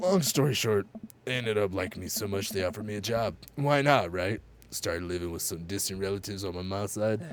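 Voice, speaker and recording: In a put-on character voice, a man rattles along at a very fast pace with a fairly low pitch. His voice is raspy and his tone deadpan. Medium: game stream. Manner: gruff, deadpan.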